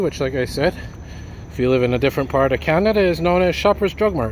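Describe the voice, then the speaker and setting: Talking at a very fast pace, a man uses ordinary pitch variation. The sound is dry with no echo, and there is light background noise. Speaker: walking-tour vlogger. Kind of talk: casual vlog narration. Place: street. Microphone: phone near.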